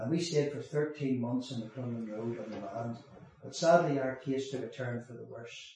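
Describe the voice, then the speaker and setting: In a Northern Irish accent, a man talks at a moderate pace and medium pitch, with audible room echo and noticeable background noise. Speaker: former prisoner turned evangelist. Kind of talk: testimony.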